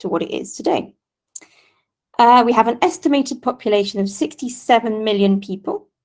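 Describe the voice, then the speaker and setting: A woman talks at a moderate pace. Her pitch moves with ordinary variation. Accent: Mancunian. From Manchester, northern England. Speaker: guest lecturer, native speaker. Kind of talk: lecture.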